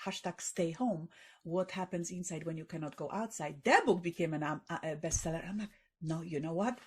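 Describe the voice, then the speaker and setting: A woman speaks fairly quickly with a Polish accent. Her voice is somewhat breathy, with ordinary pitch variation. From Poland. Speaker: author and tech entrepreneur. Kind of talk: podcast interview. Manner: halting, with fillers and repetitions.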